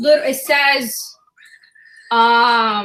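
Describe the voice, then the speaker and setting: A woman's raised, projected voice has a bright, sharp tone and ordinary pitch variation. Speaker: forex trading educator. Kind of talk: casual chat. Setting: video call. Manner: fast.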